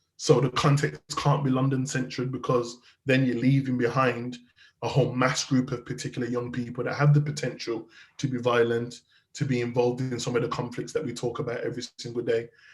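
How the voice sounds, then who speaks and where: A somewhat breathy man with a Birmingham accent speaks at a fairly quick pace, his medium-pitched voice flat and monotone. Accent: Brummie. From Birmingham, England. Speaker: youth violence charity founder and criminologist. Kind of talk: interview.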